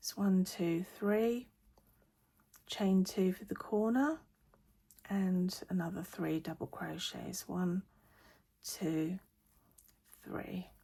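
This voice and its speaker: A somewhat breathy woman with a dark, mellow tone and medium pitch speaks at a very slow pace, with ordinary pitch variation and long, frequent pauses. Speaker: crochet teacher. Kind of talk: tutorial. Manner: hesitant with fillers.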